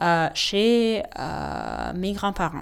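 A woman with a medium pitch and lively intonation comes through on a very clean recording with a silent background. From Ukraine. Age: 20s. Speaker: architect. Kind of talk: testimony.

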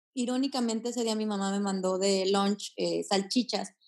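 With fairly even intonation, a woman talks at a moderate pace in an ordinary speaking voice. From Mexico, Aguascalientes. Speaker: yoga teacher and vegan activist. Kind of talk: interview conversation.

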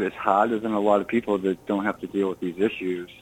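A man's very deep, low voice comes out in a monotone, with flat intonation. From Massachusetts, Burlington. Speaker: musician and actor. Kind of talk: radio interview.

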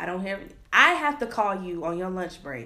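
Moderate pace from a woman at a medium pitch, her tone bright and sharp, with audible room echo. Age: 20s. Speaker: podcast co-host. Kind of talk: casual chat. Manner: harsh tone.

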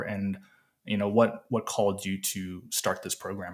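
An ordinary speaking voice from a man, fairly low in pitch, at a moderate pace. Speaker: podcast host. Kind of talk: interview.

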